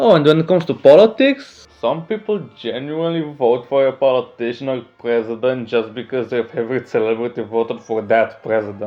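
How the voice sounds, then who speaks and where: Speaking fairly quickly with hardly any pauses, a man with a Romanian accent uses lively intonation at a medium pitch. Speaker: small YouTuber, commentary. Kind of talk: casual rant commentary. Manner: animated.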